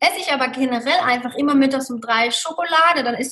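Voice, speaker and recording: A woman's raised, projected voice at a high pitch and moderate pace. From Germany, Mosel region. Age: 30s. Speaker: hotel manager and Ayurveda practitioner. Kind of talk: interview.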